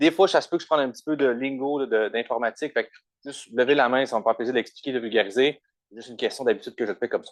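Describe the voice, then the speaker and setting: A man with a Quebec accent speaks at a very fast pace, showing ordinary pitch variation and big swings in loudness. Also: medium pitch for a man, dry, close sound with no echo. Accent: Québécois French. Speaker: doctoral researcher in computer science. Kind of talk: conference talk. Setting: conference room with audience, also streamed online.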